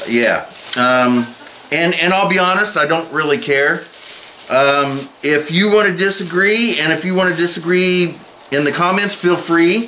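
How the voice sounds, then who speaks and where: Fairly slow delivery at a very even loudness, over light background noise. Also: man, high pitch for a man, ordinary pitch variation. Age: 50s. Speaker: bushcraft YouTuber. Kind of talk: casual monologue while crafting. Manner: halting, many fillers. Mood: opinionated, candid. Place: home room. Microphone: webcam.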